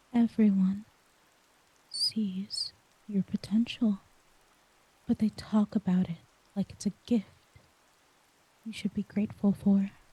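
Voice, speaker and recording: Speaking over noticeable background noise, a woman of medium pitch talks at a fairly slow pace, monotone and flat, with long, frequent pauses. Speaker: audio roleplay voice actor. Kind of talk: emotional audio roleplay monologue. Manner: vulnerable, emotional; soft-spoken.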